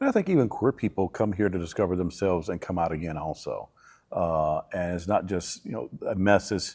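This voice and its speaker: In a Southern US accent, a man speaks at a fairly quick pace. The recording is very clean, with a silent background. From Alabama, US South. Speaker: church minister. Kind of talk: interview.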